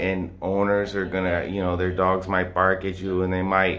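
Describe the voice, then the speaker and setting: A man talks at a fairly slow pace. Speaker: travel vlogger. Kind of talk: casual vlog chat. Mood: amused, relaxed. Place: home room. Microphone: phone near.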